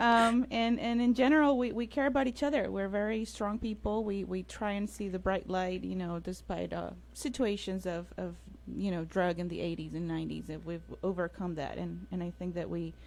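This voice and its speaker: Speaking at a moderate pace, a woman talks with a Colombian accent. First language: Spanish. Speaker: infectious disease doctor. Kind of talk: radio interview. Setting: radio studio, streamed on Facebook Live.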